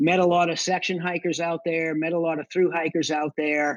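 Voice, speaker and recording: A man's voice sits high in pitch. He talks at a moderate pace. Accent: strong Boston. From Boston area, Massachusetts. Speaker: combat veteran and section hiker. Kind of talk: podcast interview.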